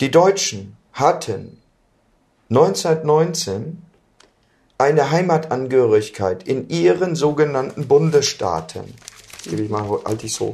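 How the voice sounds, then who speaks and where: Very slow and somewhat breathy, a man talks with very wide pitch swings, big swings in loudness and long, frequent pauses. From Germany. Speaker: political activist. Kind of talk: interview via interpreter.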